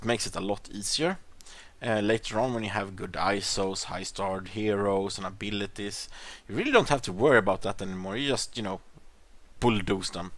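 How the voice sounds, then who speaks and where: Speaking at a fairly quick pace, the voice carries a Swedish accent. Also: man, fairly low pitch for a man, fairly even intonation. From Sweden. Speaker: gaming YouTuber. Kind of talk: gameplay commentary. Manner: hesitant, many fillers.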